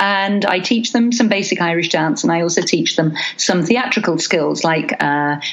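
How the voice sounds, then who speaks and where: A woman with a fairly low pitch talks at a fairly slow pace. Noticeable background noise runs underneath. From London. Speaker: Irish dance teacher and choreographer. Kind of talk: interview answer.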